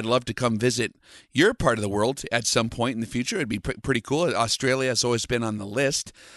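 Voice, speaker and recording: A man at a very fast pace, with ordinary pitch variation and a dry, close sound with no echo. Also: quiet background. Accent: Upper Midwest. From US, North Dakota. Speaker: long-range shooting instructor. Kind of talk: interview.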